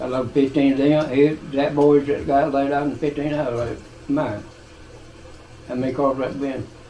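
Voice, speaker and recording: A man with an Appalachian accent at a fairly high pitch, monotone and flat, moderate in pace with long, frequent pauses, over noticeable background noise. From Eastern Kentucky, Appalachia. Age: 80s+. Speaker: retired coal miner. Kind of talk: interview answer.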